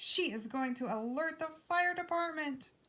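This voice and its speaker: The voice is a put-on character voice with a confident tone. It moves at a moderate pace. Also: woman, extremely high pitch for a woman. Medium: read story. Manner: confident, commanding.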